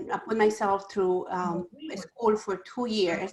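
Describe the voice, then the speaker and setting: Someone with a Spanish accent speaks at a fairly slow pace with ordinary pitch variation. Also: woman. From Ecuador. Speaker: small business owner. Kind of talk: panel talk.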